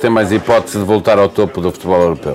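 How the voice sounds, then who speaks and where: A man's voice with crowd noise in the background. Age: 50s. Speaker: radio host. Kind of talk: interview. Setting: live broadcast from a café.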